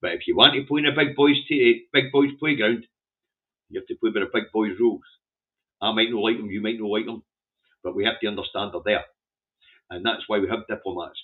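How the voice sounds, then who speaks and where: With a Scottish accent, a man of medium pitch and ordinary pitch variation talks at a fairly quick pace, broken by long, frequent pauses. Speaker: political commentator. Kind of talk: newspaper headline review livestream. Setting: livestream.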